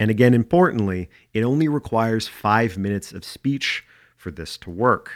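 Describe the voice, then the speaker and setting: A normal speaking voice, a man at medium pitch and moderate pace with lively intonation, in a very clean recording with a silent background. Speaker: podcast host. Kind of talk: casual chat.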